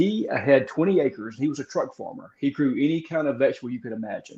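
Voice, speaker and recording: Talking at a very fast pace in a Southern US accent, a man with a fairly high pitch and a dark, mellow tone uses lively intonation and big swings in loudness. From Mississippi, US South. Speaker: gardener and author. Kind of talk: casual interview.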